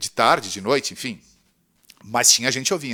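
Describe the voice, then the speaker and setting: This man speaks at a moderate pace in a fairly high pitch, with lively intonation, an animated tone and a bright, sharp quality. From southern Brazil, Rio Grande do Sul. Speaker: radio presenter and teacher. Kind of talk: casual interview chat. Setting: studio.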